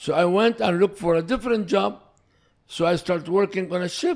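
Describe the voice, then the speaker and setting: An Iraqi accent with ordinary pitch variation. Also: man. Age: 70s. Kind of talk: podcast interview answer.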